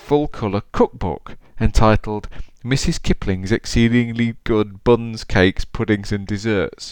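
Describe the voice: Text read aloud plainly.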